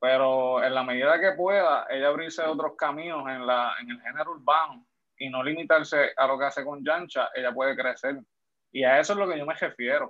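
A man's fairly high, unremarkable speaking voice at a fairly quick pace, with ordinary pitch variation. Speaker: podcast guest. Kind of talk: casual chat.

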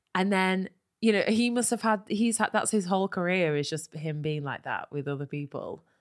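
A woman with an ordinary speaking voice and medium pitch talks at a moderate pace, her sound dry and close with no echo on a very clean recording with a silent background. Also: lively intonation. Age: 20s. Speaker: comedy podcast host. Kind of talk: casual comedy banter with role play.

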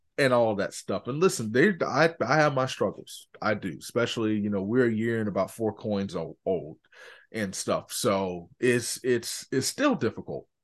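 Over a quiet background, a man with an American accent speaks at a moderate pace in an animated tone with lively intonation. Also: medium pitch for a man. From Orlando, Florida. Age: 20s. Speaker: podcast host, former track athlete and coach. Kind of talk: casual interview chat.

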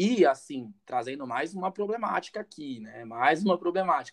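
A fairly slow, high-pitched male voice full of lively intonation. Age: 20s. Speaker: content creator on masculinity and relationships. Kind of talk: casual chat.

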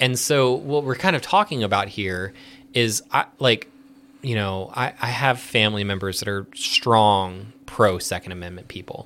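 Speaking at a moderate pace, a man with an American accent has a fairly low pitch and a bright, sharp tone. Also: ordinary pitch variation. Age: 30s. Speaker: licensed professional counselor. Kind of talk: casual chat.

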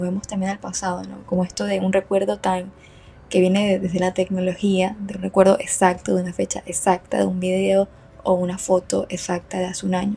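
At a fairly quick pace, a woman speaks at medium pitch in a dark, mellow tone with a slightly husky edge and vocal fry.

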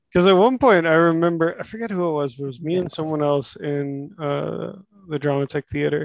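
A man with an American accent, fairly high-pitched, with ordinary pitch variation, a fairly quick pace, and an ordinary speaking voice. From Texas. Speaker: former housemate, works on construction projects. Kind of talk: casual chat.

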